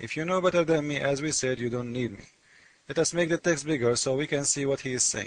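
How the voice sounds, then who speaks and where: Speaking with a non-native accent, a man talks at a moderate pace in a fairly high pitch. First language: not English. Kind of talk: casual commentary reading screen text. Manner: animated.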